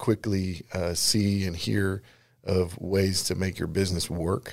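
A man's very deep, low voice with a Texan accent on a very clean recording with a silent background. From Texas Hill Country, Comfort. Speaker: construction company founder. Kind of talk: radio interview.

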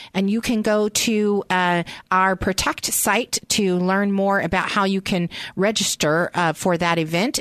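Against a quiet background, a woman with an unremarkable speaking voice talks in fairly even intonation, the sound dry and close with no echo. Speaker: radio host and nonprofit founder. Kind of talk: radio interview. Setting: radio studio. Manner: warm, friendly, laughs often.

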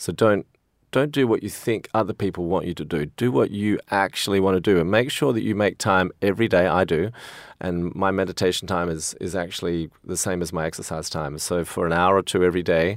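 This man has an Australian accent and a very deep, low pitch, speaking at a fairly quick pace. The recording is very clean and the background silent. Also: ordinary pitch variation. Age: 50s. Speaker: financier. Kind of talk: interview.

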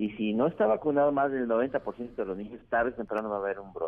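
A man's unremarkable speaking voice with lively intonation at a fairly quick pace. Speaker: infectious disease doctor. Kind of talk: phone interview.

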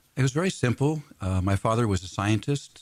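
There is a somewhat breathy quality to this man's voice, which shows ordinary pitch variation. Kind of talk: radio interview.

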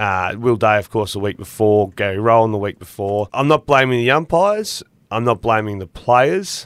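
Speaking with an Australian accent, a man uses a medium pitch, ordinary pitch variation and a moderate pace. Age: 30s. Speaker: former footballer, football pundit. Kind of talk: casual chat.

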